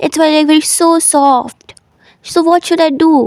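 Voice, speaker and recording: This woman speaks in a high pitch, and the sound is dry and close with no echo. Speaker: speaking coach. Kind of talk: motivational talk audio note.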